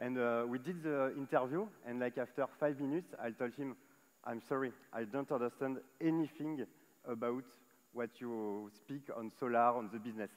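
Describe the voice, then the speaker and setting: The speaker, with a French accent, talks at a moderate pace with ordinary pitch variation. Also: man. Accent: French accent, noticeable. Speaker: solar solutions manager at tech company. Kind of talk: panel discussion on stage. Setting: stage at live event. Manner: hesitant, many fillers.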